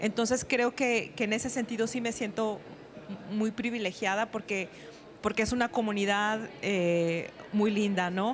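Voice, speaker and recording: Talking at a fairly slow pace, a woman keeps her fairly high voice at very even loudness and fairly even intonation. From northern Mexico, Sonora. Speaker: writer and teacher. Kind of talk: panel discussion. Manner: halting.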